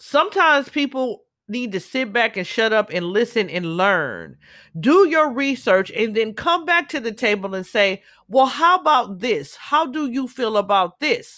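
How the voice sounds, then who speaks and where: Speaking in an American accent, a woman uses a fairly high pitch with very wide swings and a bright, sharp, animated tone. Her pace is fairly slow, and the recording is very clean with a silent background. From Southern California, Los Angeles. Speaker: podcaster. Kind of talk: monologue commentary.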